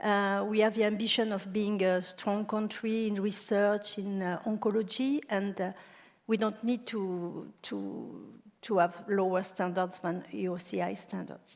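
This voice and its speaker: Speaking fairly slowly in a French accent, a woman holds a medium pitch in a monotone, flat delivery. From France. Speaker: cancer center director. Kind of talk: panel discussion.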